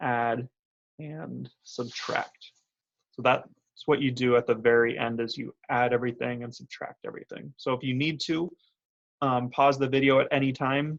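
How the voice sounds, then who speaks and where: A man with an unremarkable speaking voice, medium pitch, fairly even intonation and big swings in loudness. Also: moderate pace. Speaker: math teacher. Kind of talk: tutorial.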